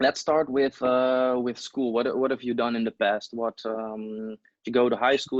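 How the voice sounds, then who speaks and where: A man with a non-native accent, monotone, flat intonation and a moderate pace, with hardly any pauses. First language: not English. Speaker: interviewer. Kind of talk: interview.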